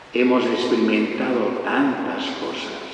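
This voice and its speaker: A man talks at a very slow pace with fairly even intonation. Noticeable background noise and audible room echo surround his voice. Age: 70s. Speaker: priest. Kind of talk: talk introduction at parish event.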